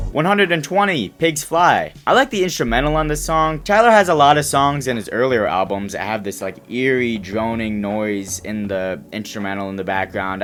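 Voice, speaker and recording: The man's pitch swings very widely as he talks fairly fast. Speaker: music reviewer, YouTuber. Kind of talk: casual commentary ranking songs.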